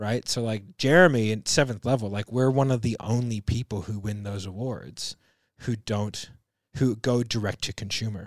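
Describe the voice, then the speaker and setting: A man talks at a moderate pace in a medium pitch, with ordinary pitch variation and an unremarkable speaking voice. The recording is very clean with a silent background and a dry, close sound with no echo. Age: 30s. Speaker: sales business podcast co-host. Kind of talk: casual chat.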